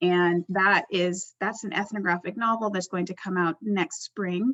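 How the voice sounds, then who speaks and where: With an American accent, the speaker uses an ordinary speaking voice at a fairly slow pace with ordinary pitch variation. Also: woman. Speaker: anthropologist and poet. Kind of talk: panel self-introduction.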